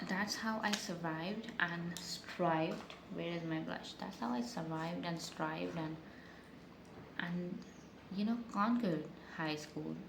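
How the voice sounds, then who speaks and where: A woman's fairly low voice with ordinary pitch variation, a fairly slow pace and long, frequent pauses, amid noticeable background noise and audible room echo. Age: 20s. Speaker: beauty vlogger. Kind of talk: casual get-ready-with-me storytime. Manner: halting, stuttering.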